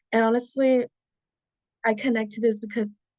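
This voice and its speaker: Against a quiet background, a woman with a Spanish accent speaks at a very fast pace in a dark, mellow tone. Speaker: student presenter. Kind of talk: class presentation. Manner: animated.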